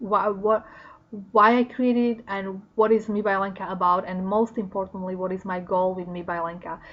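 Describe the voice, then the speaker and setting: A woman in a Slovak accent, medium-pitched, at a moderate pace. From Slovakia. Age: 40s. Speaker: vlogger. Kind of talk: casual talk to camera. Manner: animated.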